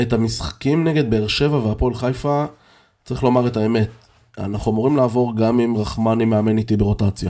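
A man's fairly quick, medium-pitched voice, dark and mellow in tone, with fairly even intonation, very even loudness, and a very clean recording with a silent background. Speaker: basketball fan podcast co-host. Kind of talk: casual chat.

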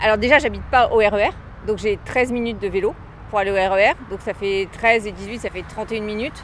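This woman has a normal speaking voice, pitched fairly high. She talks at a moderate pace with fairly even intonation. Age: 40s. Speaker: cyclist commuter. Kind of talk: street interview. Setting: outdoors.

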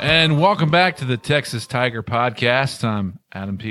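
On a very clean recording with a silent background, a man in a plain, everyday voice speaks at a moderate pace. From Ohio. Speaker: university athletics communications staff, podcast host. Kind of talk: interview. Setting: studio.

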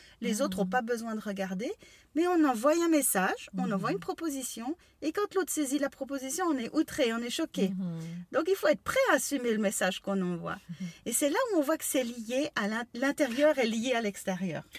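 A woman with a high pitch makes very wide pitch swings at a moderate pace, in a dry, close sound with no echo and noticeable background noise. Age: 50s. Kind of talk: casual chat.

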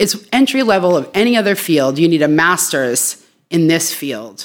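A woman with an American accent talks at a fairly low pitch, her voice moving in very wide pitch swings. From Worcester, Massachusetts, US. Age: middle-aged. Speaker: social work educator. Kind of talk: casual interview.

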